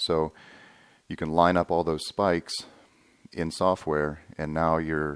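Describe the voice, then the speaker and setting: Here is a man speaking. His pitch is very deep and low. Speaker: holster maker and video tutorial host. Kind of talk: tutorial. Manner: monotone.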